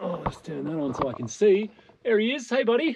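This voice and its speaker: A man with an Australian accent at a moderate pace, his pitch swinging very widely, over light background noise. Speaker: travel vlogger. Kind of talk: casual vlog narration. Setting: outdoors in winter. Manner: animated. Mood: cheerful, enthusiastic.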